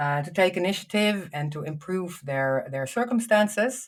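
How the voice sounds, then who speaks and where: Recorded very cleanly over a silent background, a woman with a Dutch accent speaks at a medium pitch with lively intonation. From Netherlands. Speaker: foundation founder and healthcare leader. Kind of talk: podcast interview. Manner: halting, many fillers and repetitions.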